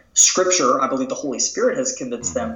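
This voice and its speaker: With noticeable background noise, a man speaks at a high pitch with very wide pitch swings. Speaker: author and entrepreneur. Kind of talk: interview conversation.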